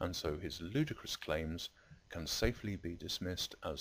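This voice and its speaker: A man with a southern English accent speaks at a moderate pace in a very deep, low pitch. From southern England. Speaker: video blogger. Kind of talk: video response commentary. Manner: formal.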